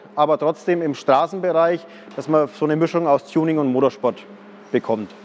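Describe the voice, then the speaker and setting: The man keeps a moderate pace, and his pitch rises and falls in an ordinary way. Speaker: car salesman presenting his project car. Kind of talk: presentation to camera. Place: workshop. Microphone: lapel.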